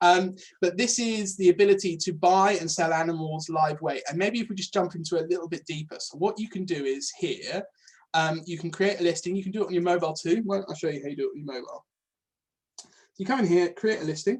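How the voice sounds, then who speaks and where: A man's high-pitched voice at a very fast pace with ordinary pitch variation. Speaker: farmer and product manager presenting software. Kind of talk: webinar presentation with Q&A. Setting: online webinar. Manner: hesitant, many fillers.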